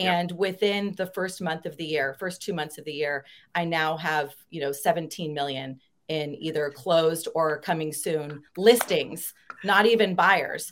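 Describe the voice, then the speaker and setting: A woman speaks in an ordinary speaking voice at a fairly low pitch. Her pace is fairly slow, with ordinary pitch variation. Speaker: real estate agent.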